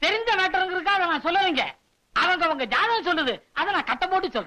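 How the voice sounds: A man's put-on character voice with an extremely high pitch, bright, sharp tone, lively intonation and fast pace.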